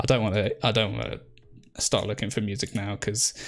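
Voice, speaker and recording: Moderately paced, the man's speech comes in an English accent. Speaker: tabletop gaming YouTuber. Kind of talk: live stream chat. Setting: live stream. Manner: halting.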